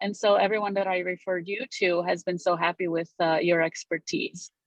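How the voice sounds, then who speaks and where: A woman with a Romanian accent talks at a fairly quick pace in a medium pitch, her intonation monotone and flat. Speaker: real estate broker. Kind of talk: interview.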